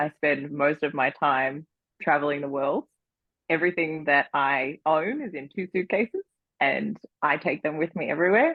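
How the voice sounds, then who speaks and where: Speaking with an Australian accent, this woman keeps a moderate pace. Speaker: entrepreneur and designer. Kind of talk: interview conversation. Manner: rising question-like inflection.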